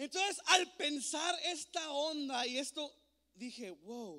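The voice is raised and projected, with an animated, bright, sharp tone. The background is quiet. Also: man. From El Paso, Texas (US-Mexico border), born in Ciudad Juárez. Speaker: youth pastor / conference speaker. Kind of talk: sermon. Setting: stage with audience. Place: church. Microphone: handheld.

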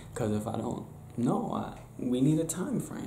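Light background noise and audible room echo around a man's speech. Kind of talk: casual role-play monologue to camera. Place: home room. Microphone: webcam.

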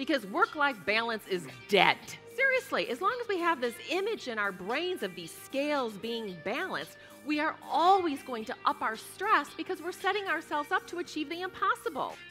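Faint music plays behind a woman whose high, raised, projected voice swings very widely in pitch. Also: moderate pace. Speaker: keynote speaker. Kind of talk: keynote speech excerpts in a promo reel. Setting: live keynote on stage to an audience. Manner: upbeat, energetic, humorous. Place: stage. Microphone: headset.

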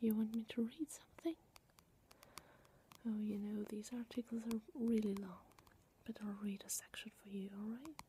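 Soft-spoken and somewhat breathy, a woman talks in a gentle, dark, mellow tone with fairly even intonation and long, frequent pauses over light background noise. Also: moderate pace. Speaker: soft-spoken video host. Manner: soft-spoken, close-mic gentle voice. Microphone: webcam.

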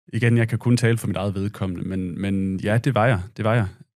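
A man's fairly low voice at a moderate pace, with ordinary pitch variation, in a dry sound with no echo against a quiet background. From Denmark. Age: 30s. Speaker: war veteran and journalist. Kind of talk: casual interview. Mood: reflective, calm. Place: studio. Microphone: studio mic.

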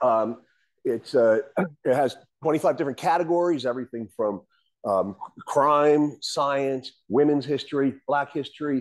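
There is a quiet background as a man speaks with lively intonation. His pace is moderate. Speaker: presenter. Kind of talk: lecture. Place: hall.

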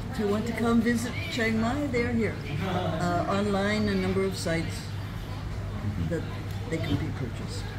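Amid loud background noise, a woman speaks at a moderate pace with long, frequent pauses. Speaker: retired traveller and author. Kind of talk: interview answer. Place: cafe. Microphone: phone near.

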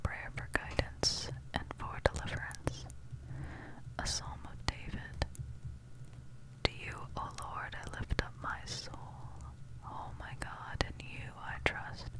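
A soft-spoken whisper moves at a very slow pace in a calm tone, broken by long, frequent pauses. The sound is dry with no echo, though loud background noise is present. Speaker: scripture reader. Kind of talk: reading scripture aloud. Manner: very soft, calm whispered Bible reading.

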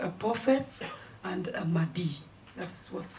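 Light background noise sits behind speech at a moderate pace. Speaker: journalist. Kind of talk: press conference question. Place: meeting room.

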